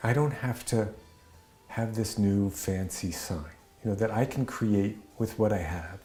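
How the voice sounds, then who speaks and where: Music plays in the background as a man with a fairly low voice talks at a fairly slow pace, with ordinary pitch variation. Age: 60s. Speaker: blacksmith. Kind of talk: interview testimony. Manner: halting, many fillers and restarts.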